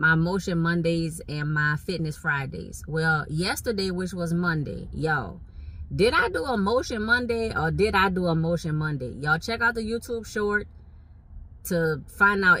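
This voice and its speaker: A woman with a Southern Louisiana accent speaks at a moderate pace in an animated, bright, sharp tone. Her pitch is fairly low, with ordinary variation. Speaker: vlogger. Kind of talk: casual chat. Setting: in a car.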